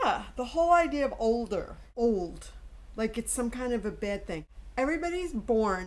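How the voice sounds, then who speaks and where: A woman speaks with a fairly high pitch and very wide swings in her intonation. Noticeable background noise runs under her voice. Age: 60s. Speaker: artist. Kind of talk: presentation talk; personal video diary. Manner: animated.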